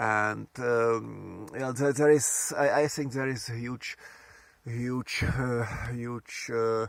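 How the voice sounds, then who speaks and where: This man speaks at a very slow pace and a medium pitch. His intonation stays fairly even. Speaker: solar bicycle traveler, vlogger. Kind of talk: travel vlog monologue. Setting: outdoors at a campsite. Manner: halting, many repetitions and fillers.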